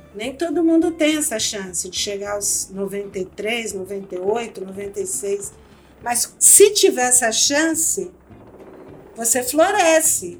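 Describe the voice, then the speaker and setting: Noticeable background noise sits behind a woman with a fairly high pitch. She speaks at a very slow pace, her pitch swinging very widely. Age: 60s. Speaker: anthropologist and author. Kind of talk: interview.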